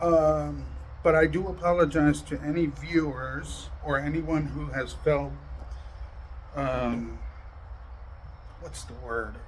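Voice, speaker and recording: Against audible room echo, a man speaks at a very slow pace with long, frequent pauses. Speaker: YouTube drama commentator. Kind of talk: casual monologue to viewers. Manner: loud; aggressive-sounding tone.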